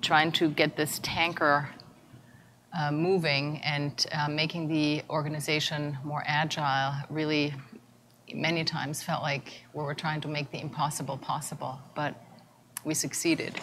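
Over light background noise, a woman with a very deep, low voice speaks fairly slowly in a flat monotone. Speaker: conference presenter. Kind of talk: conference talk. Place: hall.

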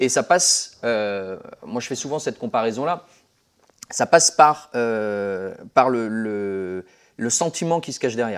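A man's medium-pitched voice comes through over a quiet background. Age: 30s. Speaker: martial arts and shooting instructor; shooting instructor. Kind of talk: casual chat. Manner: halting. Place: gym. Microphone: lapel.

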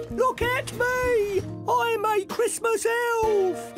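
An extremely high-pitched put-on character voice at a very slow pace, with clear music in the background.

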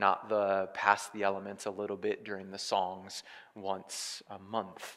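The background stays quiet while a man talks. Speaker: pastor. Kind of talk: sermon. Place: church. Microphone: headset.

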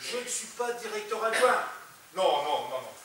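A man's raised, projected voice at a moderate pace, with ordinary pitch variation and audible room echo. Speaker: stage actor. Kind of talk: theatrical comic monologue, one-sided phone call. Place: stage. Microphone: camera far.

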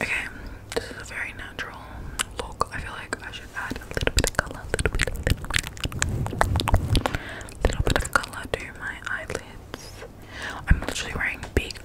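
A woman whispering at a fairly quick pace, with long, frequent pauses. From Australia. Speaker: ASMR creator. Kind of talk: casual talk to camera. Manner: whispered, chatty. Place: home room. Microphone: studio mic.

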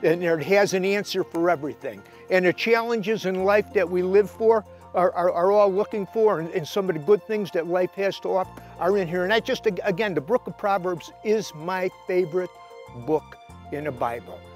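Faint music sits behind a man speaking at a moderate pace in a high pitch. The sound is dry with no echo, and his pitch varies in an ordinary way. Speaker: fishing show host and inspirational speaker. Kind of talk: inspirational sermon-style talk to camera. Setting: shot indoors in his library with books around him. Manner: conversational, earnest, with frequent filler words. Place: garden.

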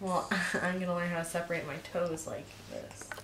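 A woman talks at a fairly quick pace in a fairly low, monotone voice with flat intonation. Noticeable background noise and audible room echo surround her. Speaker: family vlogger. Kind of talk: casual vlog chat.

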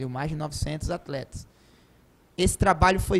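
Here a man with a fairly high pitch talks at a moderate pace with ordinary pitch variation. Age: 30s. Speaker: judo coach. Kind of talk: TV interview. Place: studio. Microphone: handheld.

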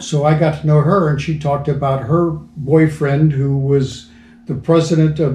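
Recorded with audible room echo, a man speaks at a moderate pace in a dark, mellow, somewhat breathy tone with fairly even intonation. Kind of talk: interview answer. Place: home room. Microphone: camera far.

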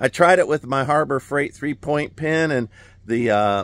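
A man at a moderate pace, the sound dry with no echo. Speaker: homesteader builder vlogger. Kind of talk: casual vlog chat. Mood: cheerful, relaxed. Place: open country. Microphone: phone near.

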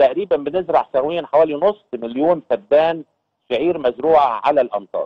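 This man talks at a moderate pace with lively intonation. His voice sits fairly high for a man. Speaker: agricultural union head. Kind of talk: TV news interview.

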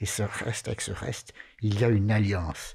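A man speaks at a moderate pace in a fairly low pitch with vocal fry. The background is quiet. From Valais, Switzerland (Chablais); Valais, Switzerland. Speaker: Sabbath school leader; panelist. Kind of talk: Bible study discussion. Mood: earnest, reflective. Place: studio. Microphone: studio mic.

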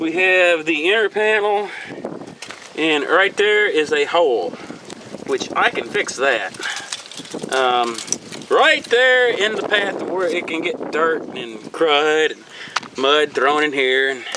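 Very slow speech with long, frequent pauses, a dry sound with no echo and noticeable background noise. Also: man. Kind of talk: casual vlog commentary. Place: street. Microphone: phone near.

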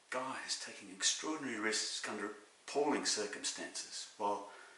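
Audible room echo surrounds a man who talks in an Australian accent with ordinary pitch variation. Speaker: actor. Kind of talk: dramatic monologue. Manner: animated, wry, comic timing with laughs. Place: home room. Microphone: webcam.

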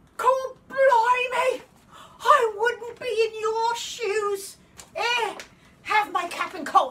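In a put-on character voice with a Cockney accent, a woman speaks very slowly at an extremely high pitch. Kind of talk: audition self-tape.

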